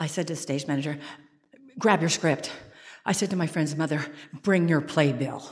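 Pausing long and often, a woman with a very deep, low pitch speaks at a moderate pace with an American accent. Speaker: theater artistic director and actor. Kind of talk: live storytelling. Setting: church stage with audience. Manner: animated.

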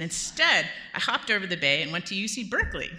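Bright, sharp female voice with an American accent, lively intonation and a fairly quick pace, plus audible room echo. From Southern California. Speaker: storyteller. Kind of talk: live storytelling. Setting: stage with audience in a church.

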